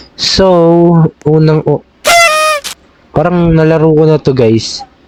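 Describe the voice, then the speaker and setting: Noticeable background noise runs under the recording. A man talks with ordinary pitch variation. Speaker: gaming youtuber. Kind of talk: gameplay commentary. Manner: animated; halting.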